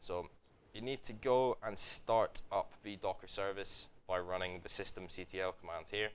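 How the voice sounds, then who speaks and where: At a fairly slow pace, a man speaks in a fairly low pitch. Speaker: tech workshop presenter. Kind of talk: tutorial. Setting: live event in office with audience. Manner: loud.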